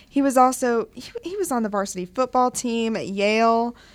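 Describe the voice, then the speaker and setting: A woman's normal speaking voice, fairly high in pitch with ordinary variation, on a very clean recording with a silent background. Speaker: radio co-host. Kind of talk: live college radio show, casual chat.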